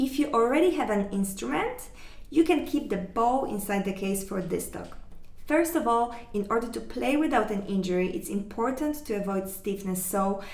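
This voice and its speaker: A woman's medium-pitched voice in a non-native accent, lively in intonation and moderate in pace. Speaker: cello teacher. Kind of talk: online music lesson talk.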